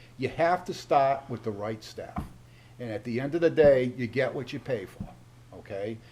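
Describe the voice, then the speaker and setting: Here a man speaks in a New England accent at a moderate pace. His pitch is medium, with ordinary variation. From Massachusetts, Oxford. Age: 70s. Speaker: town board member. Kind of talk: public meeting remarks. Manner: animated.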